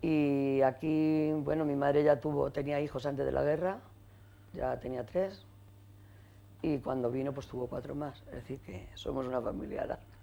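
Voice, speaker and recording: Her pitch is very deep and low, with ordinary variation. The woman speaks at a moderate pace in a dark, mellow tone. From Getafe, Madrid, Spain. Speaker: women's rights activist and trade unionist. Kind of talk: oral history interview.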